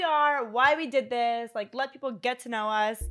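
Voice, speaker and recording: In a very clean recording with a silent background, a woman talks at a fairly quick pace with an American accent. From Philadelphia. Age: 20s. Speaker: podcast co-host and content creator. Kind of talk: casual chat.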